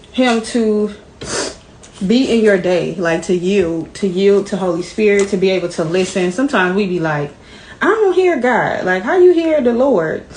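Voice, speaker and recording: A woman's lively intonation carries over noticeable background noise. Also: medium pitch for a woman, moderate pace. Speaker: vlogger, stay-at-home mom. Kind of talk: casual vlog talk while cooking.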